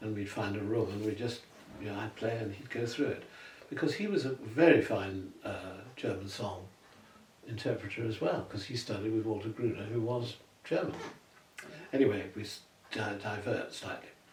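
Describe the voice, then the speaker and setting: A man talks at a moderate pace with a fairly low pitch and ordinary pitch variation, pausing long and often. Noticeable background noise and audible room echo fill the recording. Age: 80s+. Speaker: retired tenor singer. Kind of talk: interview conversation. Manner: halting, with frequent repetitions.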